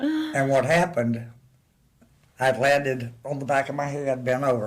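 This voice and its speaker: A man with an American accent and a fairly high voice speaks at a moderate pace with fairly even intonation, with audible room echo. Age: 70s. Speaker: interview guest. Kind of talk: casual chat.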